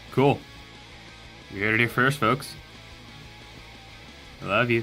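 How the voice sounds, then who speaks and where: Music plays in the background as a man talks at a fairly slow pace, with very even loudness and fairly even intonation. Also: medium pitch for a man. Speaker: voice actor. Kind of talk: casual talk to camera. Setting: home blanket booth. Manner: rambling, chatty.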